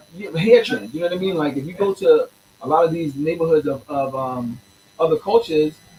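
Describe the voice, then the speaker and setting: A man speaks with a fairly high pitch. Noticeable background noise sits behind him. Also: lively intonation, fairly quick pace. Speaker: teacher and musician. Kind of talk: interview. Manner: fast; animated.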